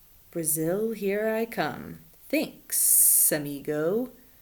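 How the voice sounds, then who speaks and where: A female-sounding voice puts on a character voice at a medium pitch. The pace is very slow. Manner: casual, thankful.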